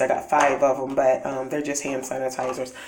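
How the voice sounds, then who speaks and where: Audible room echo surrounds a woman's voice. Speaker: couponing haul vlogger. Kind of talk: casual chat. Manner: halting.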